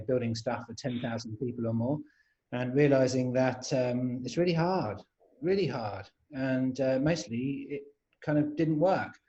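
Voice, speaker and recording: In a London accent, the speaker talks at a moderate pace with a dark, mellow tone. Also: man. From London, England. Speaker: agile coach and trainer. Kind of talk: panel webinar introduction. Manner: hesitant, many fillers.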